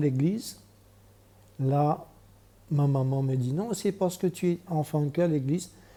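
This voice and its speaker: Fairly high pitch from a man, somewhat breathy and dark, mellow in tone, fairly slow in pace with lively intonation. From Mauritius. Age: 60s. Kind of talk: testimony. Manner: halting.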